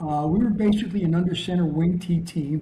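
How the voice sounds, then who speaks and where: High-pitched man with an American accent, ordinary pitch variation and a fairly quick pace. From New Jersey. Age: 70s. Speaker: veteran high school football coach. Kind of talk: casual interview chat and coaching talk. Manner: halting, many repeated words and fillers.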